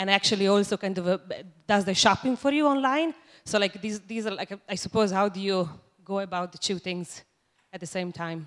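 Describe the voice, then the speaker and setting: A woman with an Italian accent, medium pitch and ordinary pitch variation, at a fairly quick pace. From Italy. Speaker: audience member. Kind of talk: audience question. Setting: stage with audience.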